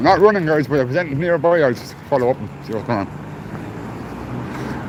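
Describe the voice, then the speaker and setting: Over noticeable background noise, a man with a Dublin accent talks with lively intonation at a fairly high pitch. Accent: Irish (Dublin). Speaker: livestreamer. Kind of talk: live walking stream. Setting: outdoors, walking in city streets.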